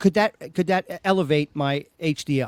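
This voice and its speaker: A man in a New York accent, dry and close with no echo. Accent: New York Brooklyn. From Brooklyn, New York. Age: 60s. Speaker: podcast host. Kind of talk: casual chat. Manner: animated.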